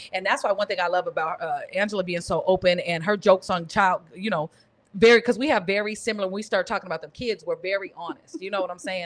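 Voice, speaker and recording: A woman talks at a very fast pace. Her pitch sits in the medium range. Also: ordinary pitch variation. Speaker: comedian. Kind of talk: casual podcast chat.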